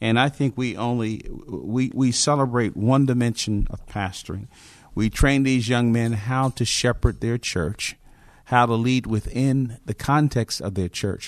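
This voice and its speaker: A man with an American accent in a normal speaking voice, medium pitch, fairly slow pace and fairly even intonation, against a quiet background. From New Jersey (Newark). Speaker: pastor. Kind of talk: interview. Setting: conference venue.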